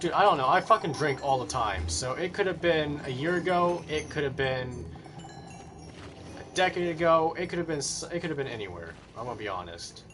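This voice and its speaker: Music plays in the background as a man talks at a fairly quick pace. His pitch is fairly high and his intonation lively. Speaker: gaming livestreamer. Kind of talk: casual chat. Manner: stuttering; halting.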